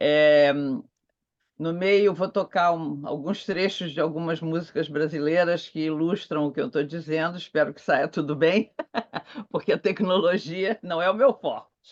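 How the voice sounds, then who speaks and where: A woman speaks fairly slowly in a fairly low pitch, with ordinary pitch variation and big swings in loudness. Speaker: theology professor. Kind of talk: conference talk. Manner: slow, clear reading.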